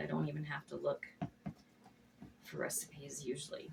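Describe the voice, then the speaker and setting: A woman speaks, with noticeable noise present in the background. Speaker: home cooking video host. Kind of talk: cooking tutorial. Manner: casual, chatty; trying to speak up louder.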